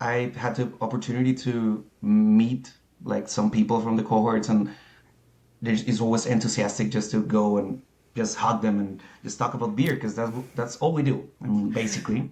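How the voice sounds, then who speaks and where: With a Spanish accent, a man speaks at a moderate pace in a medium pitch, his dark, mellow tone carrying fairly even intonation. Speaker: certified beer professional. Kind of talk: interview. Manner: halting.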